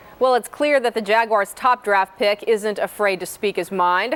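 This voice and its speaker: Noticeable background noise runs behind this recording. A woman speaks at a moderate pace and a fairly high pitch. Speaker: TV sports anchor. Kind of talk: TV sports report.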